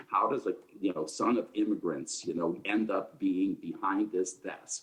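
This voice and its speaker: A man with a Chicago accent talks at a moderate pace. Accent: Chicago American English. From Chicago, US Midwest. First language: Ukrainian. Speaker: public health physician, panelist. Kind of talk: panel discussion talk. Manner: animated.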